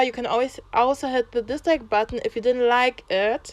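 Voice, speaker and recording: A woman speaks with a German accent at a high pitch and a moderate pace. Her pitch varies in an ordinary way, and the sound is dry and close with no echo. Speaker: YouTuber, social commentator. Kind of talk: vlog monologue. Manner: unscripted, halting with restarts; passionate.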